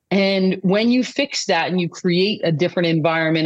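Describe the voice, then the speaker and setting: At a moderate pace, a woman talks at a medium pitch in an unremarkable speaking voice. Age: 50s. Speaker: peace-focused coaching founder, former athlete and coach. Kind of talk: interview conversation.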